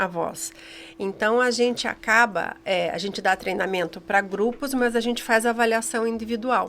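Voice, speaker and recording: Ordinary pitch variation and a moderate pace in a woman's fairly high voice. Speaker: communication trainer. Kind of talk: interview.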